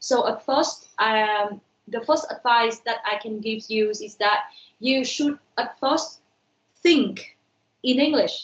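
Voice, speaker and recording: A high-pitched woman's voice with a Vietnamese accent. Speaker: university lecturer. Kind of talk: online lecture.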